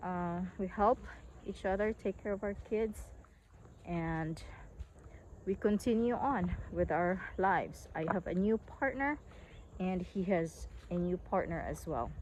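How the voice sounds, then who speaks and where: A woman with a Visayan Filipino accent speaks at a fairly slow pace, leaving long, frequent pauses. Her pitch is medium with ordinary variation. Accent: Filipino (Cebuano) English. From Philippines, northern Cebu. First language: Cebuano. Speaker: online English teacher. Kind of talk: casual vlog talk. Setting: outdoors on a farm. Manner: hesitant, with frequent fillers.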